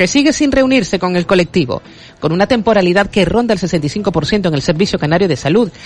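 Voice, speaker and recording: The talking goes at a fairly quick pace. There is noticeable background noise. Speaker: news reader. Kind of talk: news reading. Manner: formal.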